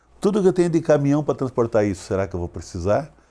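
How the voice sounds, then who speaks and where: In a very clean recording with a silent background, a man with a dark, mellow tone and a fairly high pitch speaks with very wide pitch swings. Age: 60s. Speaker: agricultural cooperative executive. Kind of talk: interview.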